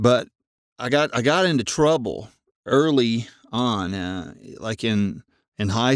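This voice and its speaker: Here a man talks with a Southern US accent. The sound is dry and close, with no echo. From Arkansas, US South. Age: 50s. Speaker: podcast host, amateur runner. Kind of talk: personal monologue. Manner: hesitant, many fillers and repeats.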